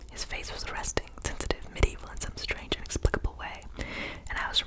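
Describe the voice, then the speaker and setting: Whispering comes at a fairly quick pace over noticeable background noise. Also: woman. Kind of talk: ASMR book reading. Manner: soft-spoken, whispered.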